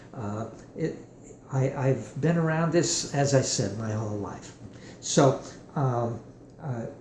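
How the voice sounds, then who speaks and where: A man talks at a very slow pace with long, frequent pauses, amid audible room echo and noticeable background noise. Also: medium pitch for a man, ordinary pitch variation. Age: 70s. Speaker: guitar maker and musician demonstrating his product. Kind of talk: product demonstration tutorial. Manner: halting, many fillers and restarts.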